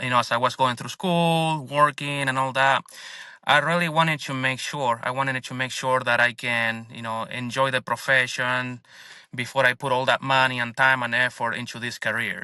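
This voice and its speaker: Over a silent background in a very clean recording, a man with a Spanish accent speaks at a moderate pace and medium pitch, his tone bright and sharp and his intonation fairly even. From Argentina. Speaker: dentist and business owner. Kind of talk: interview podcast.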